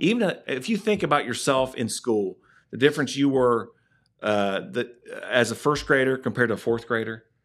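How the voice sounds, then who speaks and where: Delivered at a fairly quick pace, a plain, everyday voice carries lively intonation. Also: man, medium pitch for a man. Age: 50s. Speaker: youth sports program director. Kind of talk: casual chat.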